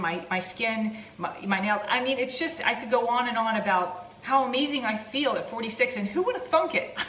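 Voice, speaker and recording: An American accent at a fairly quick pace, with audible room echo and noticeable background noise. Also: woman. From US, Maryland. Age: 40s. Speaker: fitness and weight loss coach. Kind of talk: live stream talk to viewers. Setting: live video stream. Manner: fast.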